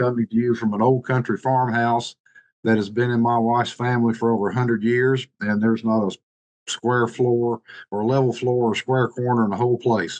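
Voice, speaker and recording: The speaker talks at a moderate pace with a Tennessee accent. The intonation is monotone and flat, and the sound is dry and close with no echo. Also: man. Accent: Southern US (Tennessee). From US South, Eastern Tennessee mountains. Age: 60s. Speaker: marketing director. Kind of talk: casual presentation on video call. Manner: halting, many fillers.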